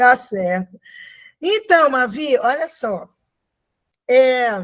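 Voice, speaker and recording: On a very clean recording with a silent background, a woman speaks at a very slow pace in a high pitch with very wide pitch swings. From Brazil, Minas Gerais (Sabará). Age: 60s. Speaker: actress. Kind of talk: podcast interview.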